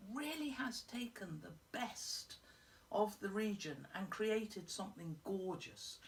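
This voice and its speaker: A woman with a fairly high, somewhat breathy voice speaks at a fairly slow pace, her intonation lively and her loudness swinging widely. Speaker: whisky reviewer. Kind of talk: product review to camera. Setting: at home in front of a fire. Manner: chatty.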